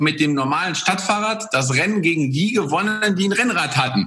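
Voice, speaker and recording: Using a raised, projected voice, a man with a high pitch talks at a moderate pace with ordinary pitch variation. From Poland. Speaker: former pro cyclist and entrepreneur. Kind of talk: interview.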